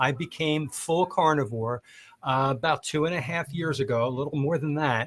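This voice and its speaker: An unremarkable speaking voice from a man, fairly high in pitch with ordinary pitch variation, at a moderate pace on a very clean recording with a silent background. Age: 50s. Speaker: diet teacher, co-host. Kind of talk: casual panel chat.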